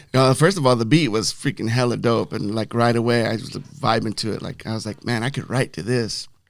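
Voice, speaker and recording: A man with an unremarkable speaking voice talks at a medium pitch with ordinary pitch variation. He moves at a fairly quick pace with hardly any pauses. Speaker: podcast host, rapper. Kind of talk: casual podcast conversation.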